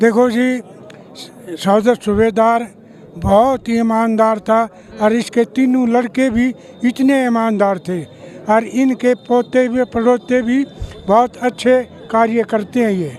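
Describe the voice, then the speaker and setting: Over noticeable background noise, a man with an extremely high pitch speaks with fairly even intonation and long, frequent pauses. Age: 80s+. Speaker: village elder. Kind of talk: street interview.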